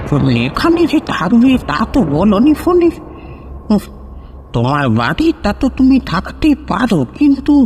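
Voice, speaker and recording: In a put-on character voice, a man speaks shakily at a fairly slow pace with a high pitch and very wide pitch swings, over clear background noise. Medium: audio drama.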